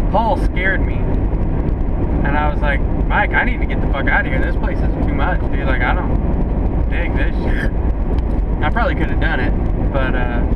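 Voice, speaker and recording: Someone speaks at a moderate pace over loud background noise. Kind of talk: casual storytelling chat. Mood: joking, loose, swearing. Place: car. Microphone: camera far.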